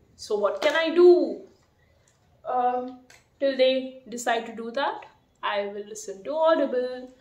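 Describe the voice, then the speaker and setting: A woman at a high pitch and fairly slow pace, with long, frequent pauses, big swings in loudness and audible room echo. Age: 30s. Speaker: vlogger. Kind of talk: casual vlog monologue. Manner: hesitant, many fillers. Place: home room. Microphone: phone near.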